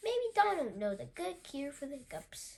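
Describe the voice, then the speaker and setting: A woman talks at a moderate pace, her put-on character voice pitched high. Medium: read story.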